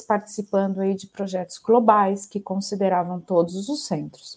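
Her tone dark and mellow, a woman talks at a fairly slow pace in a fairly high pitch. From Brazil, Ribeirão Preto (São Paulo state). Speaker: shared services center executive. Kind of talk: interview.

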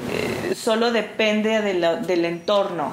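Fairly even intonation from a woman, with noticeable background noise and audible room echo. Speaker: actress and clown performer. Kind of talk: interview. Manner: hesitant, many fillers.

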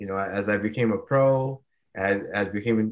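A man with an American accent uses an ordinary speaking voice at medium pitch, his intonation fairly even. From Rhode Island, US. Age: 30s. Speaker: retired MMA fighter. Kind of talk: interview.

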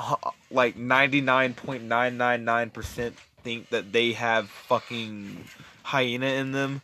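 Amid noticeable background noise, a man at a medium pitch speaks at a fairly slow pace with a monotone, flat intonation. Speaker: amateur podcast co-host. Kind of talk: casual chat. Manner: profane, rambling.

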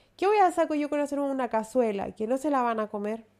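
A woman speaks with a Chilean accent. Her voice sits high, with ordinary pitch variation. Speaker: podcast co-host. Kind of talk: casual chat.

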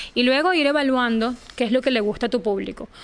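A woman speaks in an ordinary speaking voice. Her pace is moderate. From Venezuela. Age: 30s. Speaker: journalist. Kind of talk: interview.

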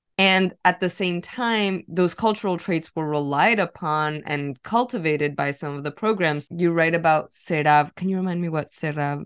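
An unremarkable speaking voice: a woman with a fairly low pitch talks at a moderate pace with hardly any pauses over a quiet background. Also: ordinary pitch variation. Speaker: podcast host. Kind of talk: interview, moderated discussion.

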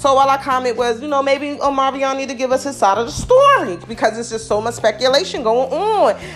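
The delivery is animated and moves at a fairly quick pace. Pitch varies in an ordinary way, with noticeable background noise behind it. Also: woman, high pitch for a woman. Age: 40s. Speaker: podcast host. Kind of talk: casual monologue.

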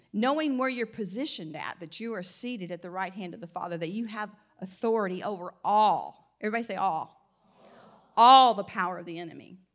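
An American accent comes through at a fairly quick pace, with ordinary pitch variation and big swings in loudness. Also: woman, medium pitch for a woman. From US South (Mississippi and Alabama). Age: 60s. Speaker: guest preacher. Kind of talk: sermon. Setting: church with congregation.

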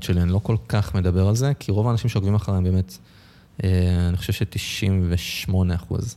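This man's voice has a dark, mellow tone and a very deep, low pitch. His pitch varies an ordinary amount. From Israel, north Tel Aviv. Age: 20s. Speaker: food blogger and stand-up comedian. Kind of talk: casual podcast interview.

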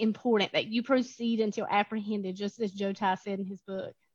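A woman speaks fairly quickly with a somewhat breathy voice and fairly even intonation. The sound is dry and close, with no echo. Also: big swings in loudness. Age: 30s. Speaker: nursing program director. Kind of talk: interview.

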